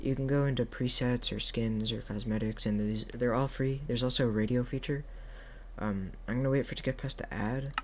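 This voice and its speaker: Soft-spoken, the speaker talks at a moderate pace. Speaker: gaming tutorial youtuber. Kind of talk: tutorial. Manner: halting, many fillers.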